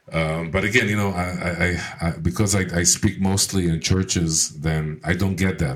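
Here a man talks with a very deep, low pitch. His pace is fairly slow and his intonation fairly even. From Israel. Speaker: radio co-host and tour agency owner. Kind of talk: casual chat. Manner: halting, many fillers and repeated words.

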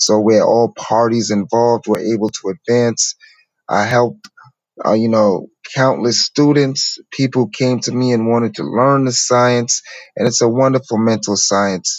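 An ordinary speaking voice with an American accent. The pace is fairly slow, with ordinary pitch variation. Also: man, medium pitch for a man. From New York City. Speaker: spiritual teacher. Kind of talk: interview storytelling.

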